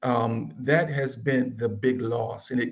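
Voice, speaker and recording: A man of medium pitch with vocal fry speaks at a very slow pace. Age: 60s. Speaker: business professor. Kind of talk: panel talk.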